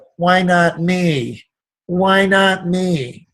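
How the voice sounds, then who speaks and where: A whiny, put-on character voice from a man, pitched high. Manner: whiny, plaintive, self-pitying.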